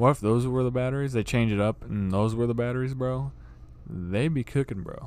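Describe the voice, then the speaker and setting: Over noticeable background noise, a man talks at a fairly quick pace with a medium pitch and fairly even intonation. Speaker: podcast co-host. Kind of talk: casual chat. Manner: casual, says bro a lot.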